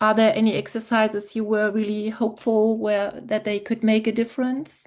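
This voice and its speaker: In a non-native accent, a woman with a fairly high pitch speaks with monotone, flat intonation. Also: moderate pace. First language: not English. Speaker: audience member. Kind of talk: audience question. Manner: halting.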